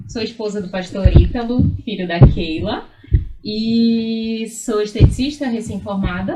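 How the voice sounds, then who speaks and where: With music in the background and audible room echo, a woman with a northern Brazilian accent speaks at a fairly slow pace and a fairly high pitch, with ordinary pitch variation and big swings in loudness. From Amapá, northern Brazil (Macapá). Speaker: beautician. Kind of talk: casual chat.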